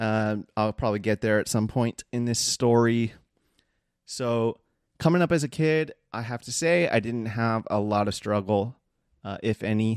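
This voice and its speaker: With an American accent, a plain, everyday voice moves at a moderate pace with ordinary pitch variation, the sound dry and close with no echo. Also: man, medium pitch for a man. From Southern California (Seal Beach / Long Beach). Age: 30s. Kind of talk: personal testimony monologue. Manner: casual with many fillers.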